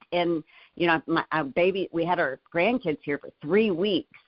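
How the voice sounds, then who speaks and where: Ordinary pitch variation and a moderate pace in an ordinary speaking voice. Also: woman. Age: 60s. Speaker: motivational leadership show co-host. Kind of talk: casual motivational discussion.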